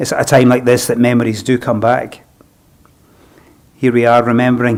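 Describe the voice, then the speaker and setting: A man with a Scottish accent, medium-pitched, at a moderate pace. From Scotland. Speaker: funeral celebrant. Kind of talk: funeral address. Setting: funeral service, live streamed. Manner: formal.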